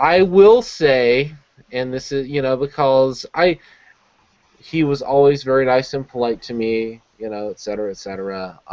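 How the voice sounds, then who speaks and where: Speaking with a slight Southern US accent at a moderate pace, a man has a medium pitch with ordinary variation and big swings in loudness. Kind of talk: casual, conversational.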